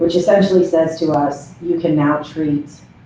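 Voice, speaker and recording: Speech at a moderate pace with noticeable background noise. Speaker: program director presenting to county board. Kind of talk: public meeting presentation. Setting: county board meeting room.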